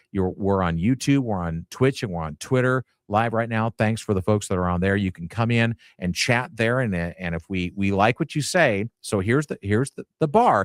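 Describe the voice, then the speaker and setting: With an unremarkable speaking voice, a man talks at a fairly low pitch with hardly any pauses, in a very clean recording with a silent background and a dry, close sound with no echo. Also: ordinary pitch variation, moderate pace. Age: 60s. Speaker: sports radio host. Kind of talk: live sports talk radio show. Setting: radio studio.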